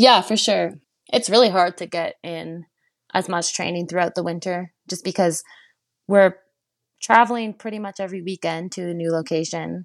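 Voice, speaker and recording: A woman with a Canadian accent speaks in an unremarkable speaking voice at a fairly low pitch, her loudness swinging widely, in a very clean recording with a silent background and a dry, close sound with no echo. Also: fairly even intonation, moderate pace. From Quebec, Canada (Chelsea). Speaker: Olympic cross-country skier. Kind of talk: interview.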